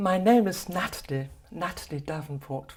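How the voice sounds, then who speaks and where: Her intonation lively, a woman talks rather slowly with a somewhat breathy sound. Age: 70s. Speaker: kinesiology practitioner. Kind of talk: personal talk to camera. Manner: halting.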